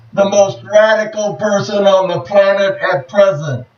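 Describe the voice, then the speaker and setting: A man's high voice with an American accent, over noticeable background noise. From United States. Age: 60s. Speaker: war veteran and activist. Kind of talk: video monologue.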